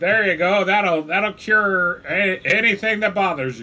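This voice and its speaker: Using a put-on character voice, a man speaks at a fairly slow pace with a high pitch. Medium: actual play. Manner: folksy, drawling.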